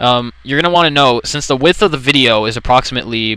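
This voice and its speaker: This man's voice has a bright, sharp tone, ordinary pitch variation and a very fast pace. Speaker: let's play commentator. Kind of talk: software tutorial commentary. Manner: hesitant, rambling.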